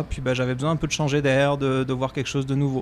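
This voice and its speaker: Against noticeable background noise, a man speaks in a monotone, flat intonation at a fairly high pitch. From France. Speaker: executive chef. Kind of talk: casual chat.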